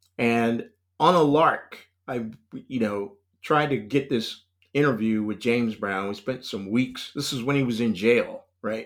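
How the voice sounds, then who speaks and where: With an American accent, a man talks at a fairly slow pace in a medium pitch and ordinary pitch variation, an unremarkable speaking voice on a very clean recording over a silent background. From US South, North Carolina (Raleigh). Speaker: cultural strategist. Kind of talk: casual interview.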